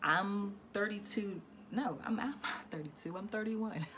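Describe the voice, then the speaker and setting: A woman with an American accent speaks at a fairly slow pace, with audible room echo and noticeable background noise. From Philadelphia, Pennsylvania. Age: 30s. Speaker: vlogger. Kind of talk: personal story time vlog. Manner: casual, hesitant with many fillers.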